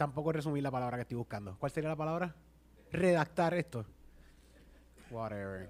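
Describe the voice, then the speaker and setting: Fairly high-pitched and animated, a man talks at a fairly quick pace with lively intonation. He leaves long, frequent pauses. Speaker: podcast host. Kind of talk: casual chat.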